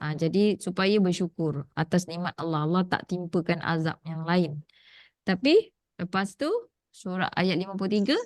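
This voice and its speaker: The speech comes at a moderate pace with ordinary pitch variation, in a dry, close sound with no echo and a quiet background. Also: woman, medium pitch for a woman. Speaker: Quran teacher. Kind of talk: online Quran class.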